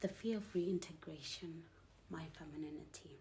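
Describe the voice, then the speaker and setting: A woman speaks at a moderate pace in a very deep, low voice with a dark, mellow tone and vocal fry. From Zimbabwean-British. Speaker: poet and author. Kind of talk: spoken word poetry.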